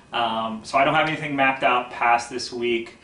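A man speaks over light background noise. Room echo is audible. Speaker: poetry show host. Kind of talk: casual talk to young viewers. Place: home room.

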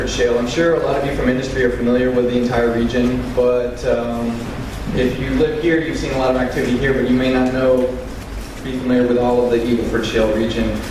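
Someone talks at a very fast pace in a monotone, flat way, with audible room echo and noticeable background noise. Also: man. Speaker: presenter. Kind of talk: public presentation. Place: hall.

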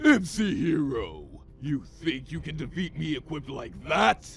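A man uses a put-on character voice at a fairly high pitch. He goes at a fairly slow pace over clear background noise. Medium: dub.

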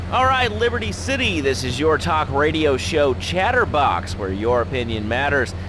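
A man talks at a moderate pace with very wide pitch swings and hardly any pauses. The sound is dry with no echo, though background noise is noticeable. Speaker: radio talk show host. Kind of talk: comedic call-in talk radio banter, sarcastic host patter; radio talk show host patter. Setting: radio studio. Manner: sardonic, exasperated with callers; brisk, punchy radio delivery. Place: studio.

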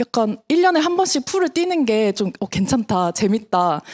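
With very wide pitch swings, the voice comes through with a dry, close sound and no echo. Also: woman. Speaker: network marketing distributor. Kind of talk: business presentation to audience.

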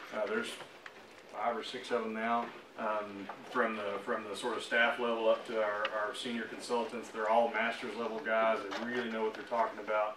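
A man speaks at a moderate pace in a monotone, flat way. Noticeable background noise runs underneath. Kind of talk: presentation to office staff. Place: meeting room. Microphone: camera far.

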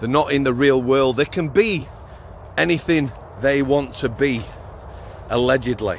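A man in a Yorkshire accent at a moderate pace, with long, frequent pauses, ordinary pitch variation, light background noise and a dry sound with no echo. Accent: Sheffield Yorkshire English. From Yorkshire, Sheffield. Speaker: former prison officer, YouTuber; vlogger. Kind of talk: opinion monologue. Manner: animated. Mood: indignant, sarcastic. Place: open country. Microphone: lapel.

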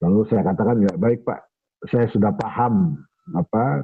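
Over a quiet background, a man with an unremarkable speaking voice talks at a moderate pace and a fairly low pitch. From Indonesia, Bekasi (West Java). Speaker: writer and historian. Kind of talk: storytelling in a discussion. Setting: video call. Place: home room. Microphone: video call.

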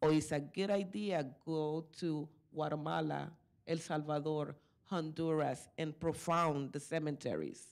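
Over a quiet background, a woman with a Spanish accent speaks at a fairly slow pace, her very deep, low pitch held in fairly even intonation. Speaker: community activist; panelist. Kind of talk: conference panel talk. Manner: halting. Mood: earnest, spiritual reflection. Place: meeting room. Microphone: podium.

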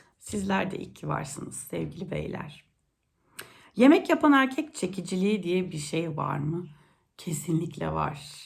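Big swings in loudness at a fairly slow pace, with audible room echo. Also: woman. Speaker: youtuber. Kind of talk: casual monologue.

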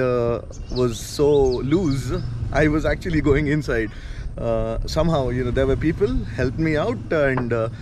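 At a moderate pace, a man talks over noticeable background noise, the sound dry with no echo. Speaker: travel vlogger. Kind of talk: casual vlog chat. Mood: amused, laughing about a fall. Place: open country. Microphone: phone near.

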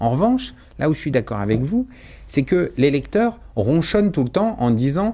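This man's dark, mellow voice is somewhat breathy. He speaks at a moderate pace with very wide pitch swings. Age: 50s. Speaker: bookseller and business owner; bookseller. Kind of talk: radio interview. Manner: hesitant, with frequent fillers. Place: studio. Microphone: studio mic.

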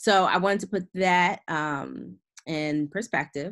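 This is a woman speaking. The background is quiet. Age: 30s. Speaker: investment educator, company founder; investment educator. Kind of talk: webinar presentation. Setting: online webinar. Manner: casual, with many fillers. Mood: casual, explanatory. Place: home room.

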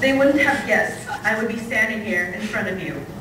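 A woman speaks at a fairly slow pace amid noticeable background noise and audible room echo. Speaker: university student poet. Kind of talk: spoken word poem performed live. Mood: warm, playful, affectionate. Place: hall. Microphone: camera far.

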